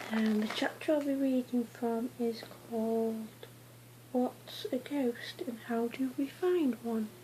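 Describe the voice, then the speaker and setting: Soft-spoken, a woman talks at a fairly high pitch and a very slow pace. Noticeable background noise is present. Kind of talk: casual talk to camera.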